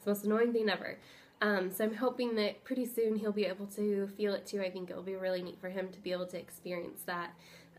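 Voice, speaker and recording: A woman speaks at a very fast pace. Her intonation is flat and monotone. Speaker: vlogger. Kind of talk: casual vlog update. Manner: hesitant with frequent ums.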